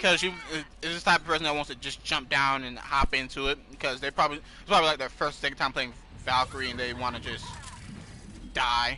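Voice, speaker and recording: This man's pitch is fairly high and his intonation fairly even as he talks at a fairly quick pace. Noticeable background noise is present. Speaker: podcast host and gamer. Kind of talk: casual chat while gaming.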